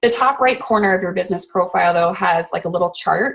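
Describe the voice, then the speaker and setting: Here a woman speaks at a medium pitch. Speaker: network marketer giving social media training. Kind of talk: online training webinar. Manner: fast; casual, filler-heavy.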